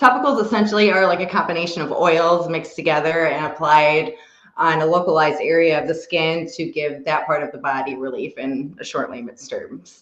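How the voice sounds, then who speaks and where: A woman's fairly low voice at a fairly quick pace, with lively intonation and audible room echo. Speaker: cannabis topicals maker. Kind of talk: casual interview.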